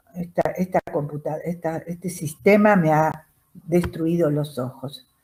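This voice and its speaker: Fairly even in intonation, the speaker talks at a fairly slow pace in a somewhat breathy voice. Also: woman, fairly low pitch for a woman. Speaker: chemistry teacher. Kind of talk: lecture.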